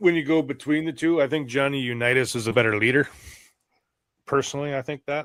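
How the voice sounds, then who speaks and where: A man with an American accent talks at a very fast pace, his fairly high voice keeping a fairly even intonation. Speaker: fantasy football podcast co-host. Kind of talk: casual chat. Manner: loud.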